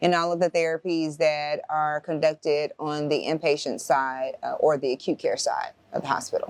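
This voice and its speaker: A woman talks at a moderate pace with hardly any pauses, in a dry, close recording with no echo but noticeable background noise. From Memphis, Tennessee (military family, moved around). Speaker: physical therapist, rehab director. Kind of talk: interview. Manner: some hesitations.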